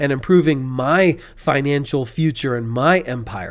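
The recording is very clean with a silent background as a man speaks at a fairly slow pace in an animated tone with ordinary pitch variation. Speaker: podcast host. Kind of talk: pep talk. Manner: animated, punchy, blunt; casual, slangy.

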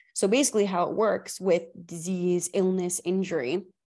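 A woman speaks in a normal speaking voice at medium pitch and a moderate pace. Her intonation is fairly even, and the background is quiet. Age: 20s. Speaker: holistic health podcast host. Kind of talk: solo podcast monologue. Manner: conversational, with fillers and self-corrections.

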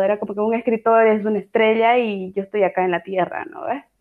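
This woman speaks at a fairly high pitch. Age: 20s. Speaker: writer. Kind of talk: interview.

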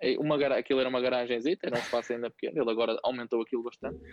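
A man talks at a very fast pace. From northern Portugal, Santo Tirso. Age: 30s. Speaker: CrossFit coach and gym owner. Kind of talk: casual interview.

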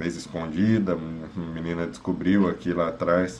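A man speaks with audible room echo. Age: 30s. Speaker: psychologist. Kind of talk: advice monologue.

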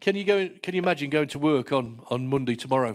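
A fairly high-pitched man, animated in tone and lively in intonation, on a very clean recording with a silent background. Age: 50s. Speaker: pastor. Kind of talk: sermon. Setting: church.

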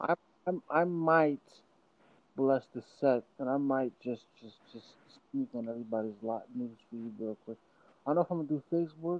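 A man's voice at medium pitch, with ordinary pitch variation, a moderate pace and big swings in loudness. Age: 20s. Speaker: DJ. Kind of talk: casual chat. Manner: halting.

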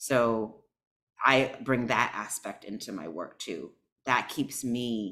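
A woman's intense, passionate voice, very deep and low in pitch, with ordinary pitch variation at a very slow pace. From United States. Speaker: healing mentor and entrepreneur. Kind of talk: casual interview conversation.

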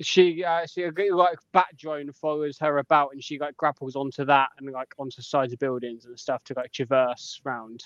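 A fairly high-pitched man's voice with a British accent, fairly even intonation and big swings in loudness, in a dry, close sound with no echo. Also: moderate pace. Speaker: podcast co-host. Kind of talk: casual banter podcast.

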